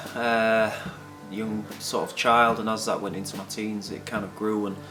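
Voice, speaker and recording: With music playing behind him, a man talks in a fairly low pitch. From Hull, England. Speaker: recovering addict and guitar teacher. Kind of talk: interview answer.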